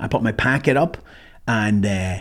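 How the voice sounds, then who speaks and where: Somewhat breathy speech with ordinary pitch variation comes through in a very clean recording with a silent background. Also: man. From Ireland. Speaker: military veteran and survival trainer. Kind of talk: casual monologue storytelling.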